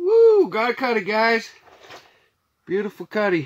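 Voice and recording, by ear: The pitch swings very widely. The pace is slow. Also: man.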